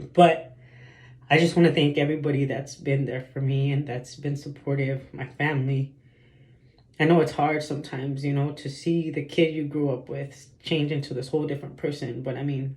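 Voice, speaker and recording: A man's fairly high, somewhat breathy voice, monotone and flat in intonation, at a moderate pace. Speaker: vlogger. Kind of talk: personal vlog monologue. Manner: halting, filler-heavy.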